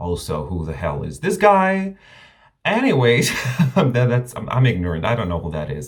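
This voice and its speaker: A man speaks at a moderate pace with a non-native accent, his voice somewhat breathy. His pitch swings very widely. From Romania. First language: not English. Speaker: drag queen reviewer, YouTuber. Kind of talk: video review monologue. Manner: animated, casual.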